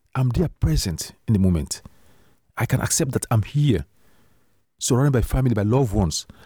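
A man's dark, mellow, somewhat breathy voice at medium pitch, with lively intonation and a fairly quick pace broken by long, frequent pauses. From Sierra Leone. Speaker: author and public speaker. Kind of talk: interview conversation. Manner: reflective, hesitant with repeats.

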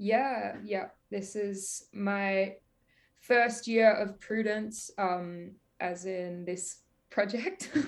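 A woman with an Australian accent, at a very slow pace and with fairly even intonation. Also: medium pitch for a woman. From Victoria, Australia. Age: 20s. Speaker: singer-songwriter. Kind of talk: casual interview.

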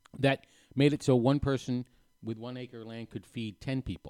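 This man's dark, mellow voice sits at medium pitch and moves at a moderate pace, with a dry, close sound and no echo. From New Hampshire. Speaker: screenwriter and film teacher. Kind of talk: casual chat. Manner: halting.

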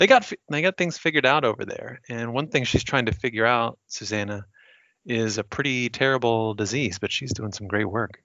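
A man's unremarkable speaking voice, medium-pitched, at a moderate speed, with ordinary pitch variation. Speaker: podcast host. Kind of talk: podcast intro, casual banter.

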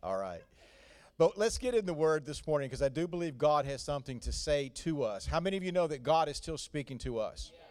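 Lively in intonation, a man with a Southern US accent speaks at a fairly high pitch and a fairly quick pace. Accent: Southern US, noticeable. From North Carolina. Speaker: visiting pastor. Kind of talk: sermon. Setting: church.

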